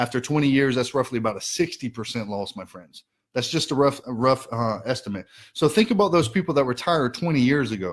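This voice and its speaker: Very fast and animated, the speech has lively intonation and big swings in loudness. The recording is very clean with a silent background. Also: man, medium pitch for a man. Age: 30s. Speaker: financial educator. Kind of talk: live stream presentation.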